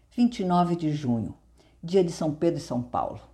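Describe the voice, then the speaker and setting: A woman's somewhat breathy voice, dark and mellow in tone, with very wide pitch swings. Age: 70s. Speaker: mental health podcaster and author. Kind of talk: reading aloud from own memoir.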